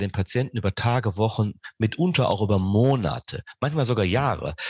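A man with a medium pitch, somewhat breathy, with lively intonation, dry, close sound with no echo and a quiet background. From southern Rhineland, Germany. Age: 40s. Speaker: sports scientist, professor. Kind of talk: interview. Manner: hesitant, many fillers.

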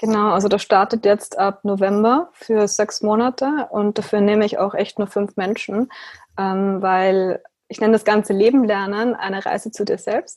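A woman with an ordinary speaking voice talks at a moderate pace, her medium pitch carried on fairly even intonation. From Austria. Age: 20s. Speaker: philosophical practitioner. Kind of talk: interview.

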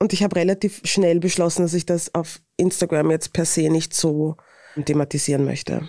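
A woman with a Viennese accent speaks at a moderate pace in a fairly low pitch and a dark, mellow tone. Her intonation is monotone and flat, and the sound is dry and close with no echo. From Vienna, Austria. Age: 30s. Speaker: influencer and author. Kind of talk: interview.

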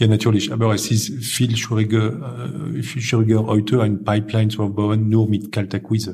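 A French accent, fairly even intonation, moderate pace and big swings in loudness. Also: man, fairly low pitch for a man. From northern France, Lille. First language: French (speaking German). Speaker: recruitment firm owner. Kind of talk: interview. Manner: halting.

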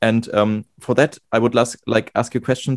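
Speaking at a moderate pace, a man holds a medium pitch with fairly even intonation. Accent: German. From Germany. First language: German. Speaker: music student and podcast host. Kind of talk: casual interview. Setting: video call. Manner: halting, many fillers.

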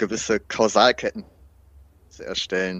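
The man's fairly low voice sounds dry and close, with no echo. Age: 30s. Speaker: fitness trainer and student with washing compulsion. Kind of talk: interview about personal experience. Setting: remote recording.

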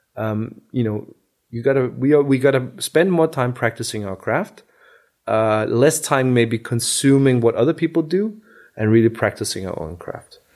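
In a very clean recording with a silent background, a man of medium pitch speaks with lively intonation. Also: moderate pace. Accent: Danish. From Denmark. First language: Danish. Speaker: car designer. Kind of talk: interview.

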